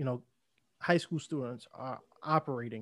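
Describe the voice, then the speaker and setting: A man with a fairly high pitch speaks in a normal speaking voice at a moderate pace with ordinary pitch variation, his dry, close sound carrying no echo over a quiet background. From New York. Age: 20s. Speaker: podcast host. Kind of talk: casual interview conversation.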